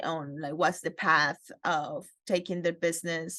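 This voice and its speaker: A woman speaks at a fairly low pitch and a fairly slow pace in a Spanish accent. The background is quiet. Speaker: interviewer. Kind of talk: interview.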